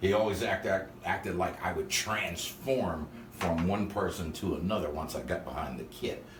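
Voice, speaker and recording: At a fairly slow pace, a man with a very deep, low pitch and ordinary pitch variation speaks amid noticeable background noise and audible room echo. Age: 60s. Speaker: drummer. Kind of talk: casual interview.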